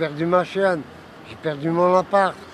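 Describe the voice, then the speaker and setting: A man speaking at a very slow pace against noticeable background noise. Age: 60s. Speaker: homeless man. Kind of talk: personal testimony. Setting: outdoors on a street bench. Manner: halting.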